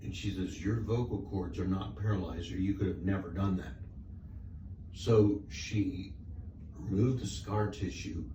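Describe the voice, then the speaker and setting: Audible room echo surrounds a man's very deep, low voice, which has a dark, mellow tone, is somewhat breathy and moves at a fairly slow pace with ordinary pitch variation. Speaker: patient. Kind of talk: casual chat.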